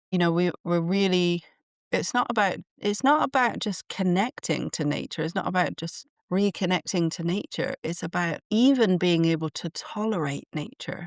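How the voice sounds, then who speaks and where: A woman with an English accent and a fairly low pitch speaks at a moderate pace with lively intonation in a very clean recording with a silent background. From England. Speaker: podcast host and channeler. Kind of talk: solo podcast monologue. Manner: conversational with fillers and restarts.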